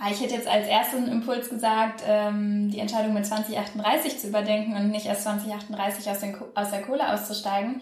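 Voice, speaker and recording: Over noticeable background noise and audible room echo, a woman speaks in a fairly high pitch with monotone, flat intonation. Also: moderate pace. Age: 20s. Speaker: political science student and climate activist. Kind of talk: interview.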